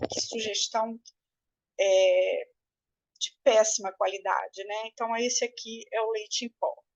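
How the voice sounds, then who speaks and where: A woman at a fairly slow pace, with long, frequent pauses and a dry, close sound with no echo. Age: 60s. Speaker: breastfeeding consultant and course teacher. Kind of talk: lecture. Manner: hesitant with frequent fillers.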